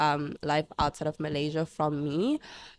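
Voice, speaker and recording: Dry and close with no echo, a woman's very deep, low voice comes through in a very clean recording with a silent background. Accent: Zimbabwean. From Zimbabwe. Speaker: international university student. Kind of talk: casual interview chat.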